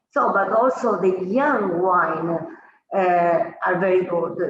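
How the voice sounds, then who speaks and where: In an Italian accent, a woman talks at a very slow pace with medium pitch and ordinary pitch variation, and the room echo is audible. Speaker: winemaker. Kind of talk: interview. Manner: halting.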